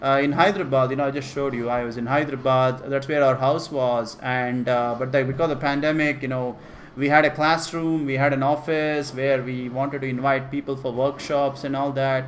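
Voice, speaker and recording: With an Indian accent, the speaker talks at a fairly quick pace with hardly any pauses and a monotone, flat intonation, amid noticeable background noise and audible room echo. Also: man, fairly high pitch for a man. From India (Karnataka, Kannada-speaking). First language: Kannada. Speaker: programming teacher. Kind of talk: live-streamed class, casual Q&A. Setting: live stream. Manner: casual, with fillers and repetitions.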